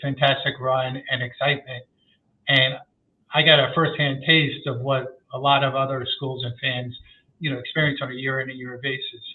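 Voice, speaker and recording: This man has an American accent and a medium pitch. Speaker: sports marketing research executive. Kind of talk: podcast interview.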